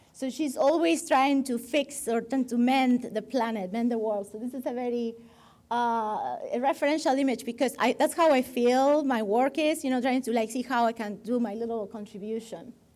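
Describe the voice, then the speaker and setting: Speaking in a Spanish accent, a woman talks at a moderate pace with a high pitch and ordinary pitch variation. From Argentina. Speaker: designer. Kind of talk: guest lecture with slides. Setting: stage with live audience. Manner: halting.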